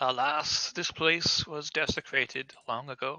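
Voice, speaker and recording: A booming put-on character voice, low-to-middle in pitch, at a fairly slow pace. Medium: actual play. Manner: solemn, accusing.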